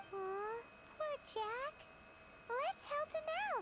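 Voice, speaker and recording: Over noticeable background noise comes a put-on character voice, squeaky and extremely high in pitch. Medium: video game. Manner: chatty, expressive.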